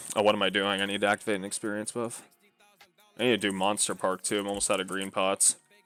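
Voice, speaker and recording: Fairly low in pitch, a man speaks very fast with monotone, flat intonation. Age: 20s. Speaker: game streamer. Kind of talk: casual chat. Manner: casual, filler-heavy.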